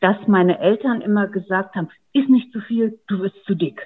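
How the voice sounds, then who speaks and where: A woman speaks at a medium pitch with ordinary pitch variation. It is a normal speaking voice. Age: 50s. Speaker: online program participant. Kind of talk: interview.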